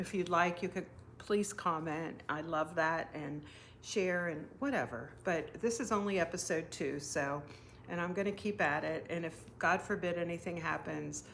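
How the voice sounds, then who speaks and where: A woman with a fairly low pitch and ordinary pitch variation talks at a moderate pace. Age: 60s. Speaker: knitting and crafting podcaster. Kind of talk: casual craft vlog, show and tell. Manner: hesitant, many fillers.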